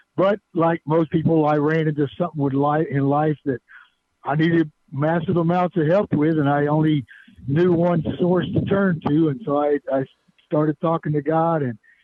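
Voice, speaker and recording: A man with an unremarkable speaking voice and fairly high pitch keeps a moderate pace and very even loudness. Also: fairly even intonation. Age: 60s. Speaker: author. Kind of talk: radio interview. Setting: phone call.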